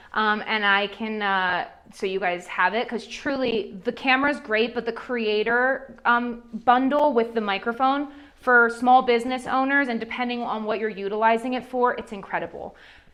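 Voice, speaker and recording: At a moderate pace, a woman talks in an animated tone with a fairly high pitch and ordinary pitch variation. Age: 30s. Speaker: social media marketing speaker. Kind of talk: seminar Q&A. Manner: loud.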